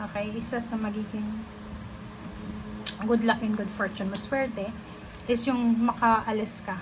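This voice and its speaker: Soft-spoken, a woman speaks at a moderate pace in a fairly high pitch with a monotone, flat intonation. Audible room echo and noticeable background noise surround her. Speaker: tarot reader. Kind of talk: tarot reading.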